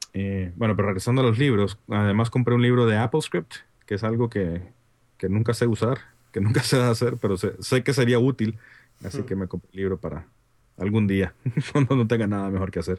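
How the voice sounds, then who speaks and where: The speech moves at a fairly quick pace with ordinary pitch variation. Long pauses come often. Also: man, fairly low pitch for a man. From Honduras. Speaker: app developer and consultant. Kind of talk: casual chat. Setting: video call.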